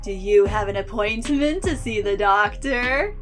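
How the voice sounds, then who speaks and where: Against clear music in the background, a woman does a put-on character voice with a fairly high pitch at a moderate pace. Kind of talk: creepy. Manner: creepy.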